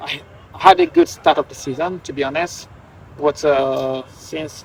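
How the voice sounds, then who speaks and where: Background noise is clearly noticeable. Over it, a man speaks fairly slowly. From Guinea. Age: 30s. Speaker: professional footballer. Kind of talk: interview. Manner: halting.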